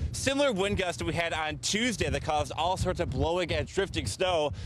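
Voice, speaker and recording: Over noticeable background noise, a man speaks at a fairly quick pace with a high pitch, lively intonation and very even loudness. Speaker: meteorologist. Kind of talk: live TV weather report. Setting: outdoors.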